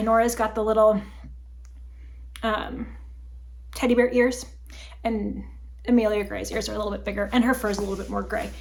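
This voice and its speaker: A woman is speaking. Room echo is audible. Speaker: crafting video host. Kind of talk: casual chat.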